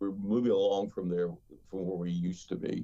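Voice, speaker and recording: A man with an American accent speaks at a very deep, low pitch with ordinary pitch variation and a dark, mellow tone. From Eastern Kentucky (Carter County). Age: 60s. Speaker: pastor. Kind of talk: interview. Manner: halting, many fillers.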